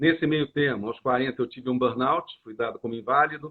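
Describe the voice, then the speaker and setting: A normal speaking voice from a male speaker, medium in pitch and ordinary in pitch variation. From Brazil, Rio de Janeiro. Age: 60s. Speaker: coach and association founder. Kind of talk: interview. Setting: live stream.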